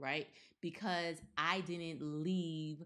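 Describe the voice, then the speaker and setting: In a very clean recording with a silent background, a woman with an American accent speaks at a very deep, low pitch. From US, partly Caribbean background. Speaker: podcast co-host. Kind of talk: casual chat.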